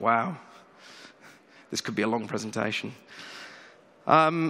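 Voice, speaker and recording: A man with a British accent speaks at a moderate pace in a bright, sharp tone with ordinary pitch variation. The recording is very clean, with a silent background. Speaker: tech company CEO. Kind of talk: conference keynote. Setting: stage with audience.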